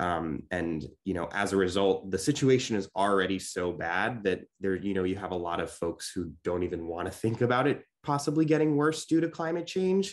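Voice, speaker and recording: Against a quiet background, the voice moves at a moderate pace with hardly any pauses and very wide pitch swings. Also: man, fairly low pitch for a man. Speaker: local newspaper reporter. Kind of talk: panel discussion. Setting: video call. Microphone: video call.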